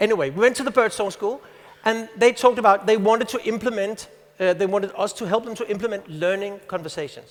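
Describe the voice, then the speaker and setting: A man talking very fast, high-pitched, with ordinary pitch variation. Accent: Danish. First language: Danish. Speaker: teacher and conference speaker. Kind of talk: conference talk.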